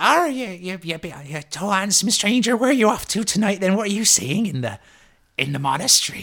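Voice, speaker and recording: A man puts on a character voice at a high pitch. He keeps a moderate pace. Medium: actual play. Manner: chatty, rambling, familiar.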